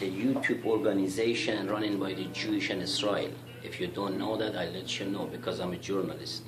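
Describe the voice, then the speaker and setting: A man with a Persian accent speaks at a fairly quick pace and a fairly low pitch with ordinary pitch variation, amid audible room echo and music in the background. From Iran. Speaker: YouTuber. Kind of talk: monologue rant. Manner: heated.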